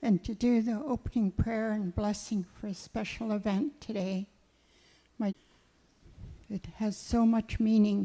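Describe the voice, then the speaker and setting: Dry and close with no echo, the voice has a dark, mellow tone, somewhat breathy and fairly even in intonation, moving at a fairly slow pace with long, frequent pauses. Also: woman, fairly high pitch for a woman. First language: Cowichan (Hul'q'umi'num'). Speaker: elder. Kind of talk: prayer and blessing.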